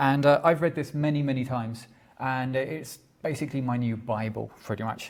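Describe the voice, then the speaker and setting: A man talks in a London accent with a fairly high pitch. His pace is fairly quick. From London, England. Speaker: tech generalist, small company owner. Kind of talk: conference talk. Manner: halting.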